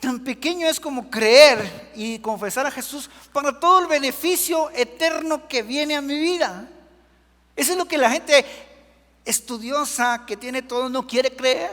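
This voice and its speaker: A man with a Guatemalan accent at an extremely high pitch, speaking at a fairly slow pace. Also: ordinary pitch variation. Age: 60s. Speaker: preacher. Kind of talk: sermon.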